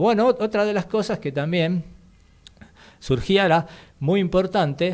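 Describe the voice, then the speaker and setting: Against a quiet background, a man with a high voice talks at a fairly slow pace with lively intonation. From Argentina. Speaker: radio co-host, history segment; radio co-host. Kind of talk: radio talk show, history explainer. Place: studio. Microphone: studio mic.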